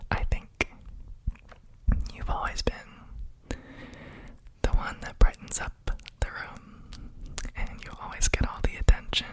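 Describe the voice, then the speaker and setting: A man whispers in a soothing tone at a very slow pace. Noticeable background noise sits behind him. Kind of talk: ASMR roleplay whisper, caring for a house plant. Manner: whispered, soft-spoken, slow, soothing.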